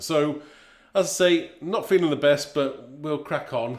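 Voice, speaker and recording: A man speaks with an English accent. His pitch is fairly high. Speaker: craft demonstrator. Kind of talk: live stream chat. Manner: casual, hesitant.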